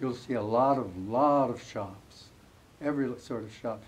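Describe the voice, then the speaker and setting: A man talks in an American accent. Room echo is audible. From US Midwest, Amana Colonies, Iowa. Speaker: author. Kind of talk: interview before a live audience.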